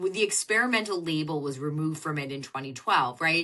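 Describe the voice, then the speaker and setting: The woman's voice has a bright, sharp tone. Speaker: fertility doctor and author. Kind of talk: podcast interview. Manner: loud.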